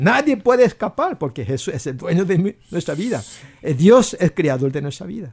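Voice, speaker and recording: A high-pitched man speaks with very wide pitch swings and big swings in loudness. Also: moderate pace. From South Korea. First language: Korean (speaking Spanish). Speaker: pastor. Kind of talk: radio interview.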